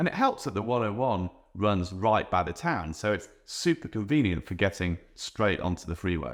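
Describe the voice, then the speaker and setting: Pitch swings very widely as a man talks at a fairly quick pace in a British accent. The recording is very clean, with a silent background. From England. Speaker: real estate agent. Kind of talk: presenter-style guide video.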